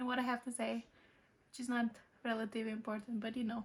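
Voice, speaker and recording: Speaking in a Romanian accent, a woman keeps a fairly quick pace. Her fairly high voice is somewhat breathy. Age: 20s. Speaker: vlogger. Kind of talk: casual Q&A vlog. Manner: hesitant.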